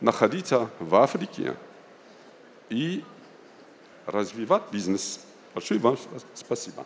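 Amid light background noise, a man speaks at a very slow pace with long, frequent pauses and very wide pitch swings. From Algeria. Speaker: business delegate; speaker. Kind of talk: panel talk. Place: hall. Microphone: handheld.

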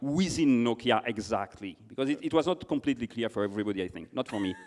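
A man with a French accent talks at a very fast pace with hardly any pauses and lively intonation against a quiet background. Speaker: conference moderator; interviewer, event host. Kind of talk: on-stage interview. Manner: halting. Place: stage. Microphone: handheld.

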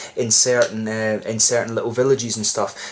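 A fairly quick pace from a man. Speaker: beer reviewer. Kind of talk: casual review chat. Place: home room. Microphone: camera far.

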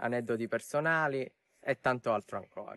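A man speaks over a quiet background with a dry sound that has no echo. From Sicily. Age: young. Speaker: TV game show contestant and student. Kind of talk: interview answer. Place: open country. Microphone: lapel.

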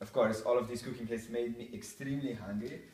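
In a room with audible echo, a man speaks at a medium pitch with ordinary pitch variation and a slightly mellow tone.

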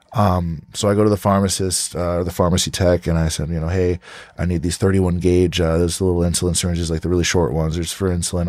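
The speech comes at a very fast pace in a New Jersey accent, with ordinary pitch variation. The recording is very clean, with a silent background. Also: man. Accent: New Jersey American English. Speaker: podcast host. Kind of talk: casual interview chat. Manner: animated.

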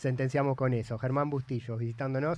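The sound is dry with no echo as a man talks at a fairly quick pace. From Argentina. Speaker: radio host. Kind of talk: radio interview. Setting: studio. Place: studio. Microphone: studio mic.

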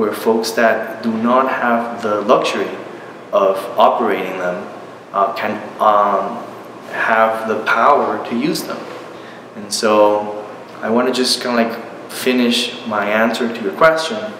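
At a fairly slow pace with long, frequent pauses, a man speaks with fairly even intonation amid audible room echo and light background noise. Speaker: university professor. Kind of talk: interview answer. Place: home room.

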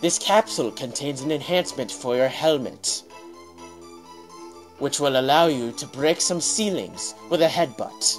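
A man puts on a growling character voice at a medium pitch. He keeps a moderate pace while clear music plays in the background. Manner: acted, comedic.

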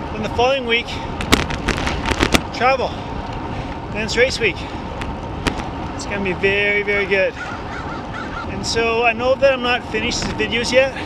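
Over loud background noise, a man speaks at a moderate pace with long, frequent pauses, the sound dry with no echo. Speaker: triathlon coach. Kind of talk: casual vlog chat. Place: bicycle. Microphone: phone near.

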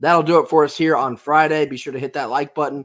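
Speaking fast, a man with a fairly high pitch and fairly bright tone keeps his intonation fairly even.

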